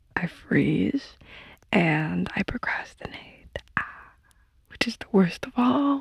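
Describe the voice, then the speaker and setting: A soft-spoken woman whispering at a very slow pace, in a dry, close sound with no echo. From Poland. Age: 20s. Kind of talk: ASMR sleep ramble. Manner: whispered, soft-spoken.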